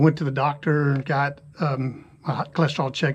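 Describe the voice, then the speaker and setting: Somewhat breathy, the speech stays flat and monotone in its intonation. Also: man. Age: 60s. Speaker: retired cyclist vlogger. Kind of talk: casual vlog talk. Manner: casual with fillers.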